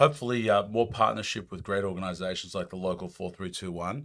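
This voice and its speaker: A very deep, low male voice at a very fast pace, fairly even in intonation, on a very clean recording with a silent background. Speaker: company founder. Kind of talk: casual interview. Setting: studio.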